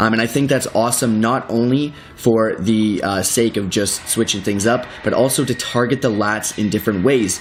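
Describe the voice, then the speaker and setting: The pace is fairly quick. Background noise is noticeable throughout. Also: man. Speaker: fitness trainer. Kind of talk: tutorial. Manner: fast; animated.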